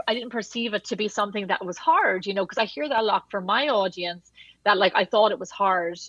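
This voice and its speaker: In an Irish accent, a woman speaks with a bright, sharp tone at a fairly high pitch. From Wexford, southeast Ireland. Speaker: podcast guest, cookbook author; pastry chef. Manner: conversational, frequent "like" filler.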